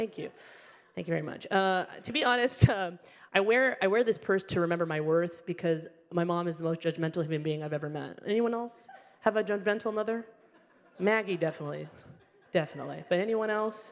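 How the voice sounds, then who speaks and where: A woman talks at a medium pitch and a fairly quick pace, her pitch varying in an ordinary way. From Alabama. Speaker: stand-up comedian. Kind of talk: stand-up. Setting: stage with audience.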